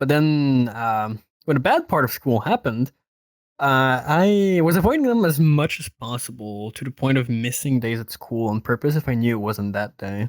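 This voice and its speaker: This man speaks with a Quebec accent at a medium pitch and lively intonation. His moderate pace comes through in a very clean recording with a silent background, the sound dry and close with no echo. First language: French. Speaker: podcast guest. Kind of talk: casual chat.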